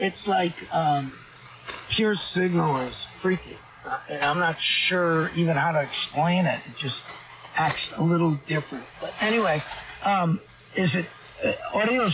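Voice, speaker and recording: A man's high voice with lively intonation at a fairly slow pace, over noticeable background noise. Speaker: amateur radio operator. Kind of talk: casual chat. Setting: amateur radio contact.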